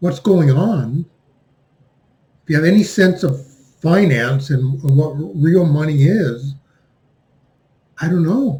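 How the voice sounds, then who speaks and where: The tone is dark and mellow, with ordinary pitch variation. Delivery is very slow, broken by long, frequent pauses. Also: man, fairly high pitch for a man. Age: 60s. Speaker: finance commentator. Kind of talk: monologue commentary.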